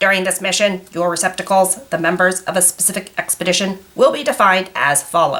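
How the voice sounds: A woman's put-on character voice, robotic and nasal, at a medium pitch and a fairly quick pace with hardly any pauses.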